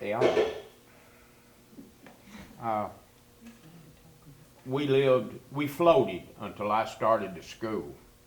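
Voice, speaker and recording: Speaking at a very slow pace with long, frequent pauses, a man of medium pitch uses lively intonation over noticeable background noise. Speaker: interviewee who grew up on a swamp refuge. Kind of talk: interview answer, storytelling about childhood.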